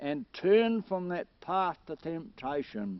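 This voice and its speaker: A man speaks very slowly, his pitch moving in very wide swings. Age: 70s. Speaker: poet. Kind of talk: poetry reading.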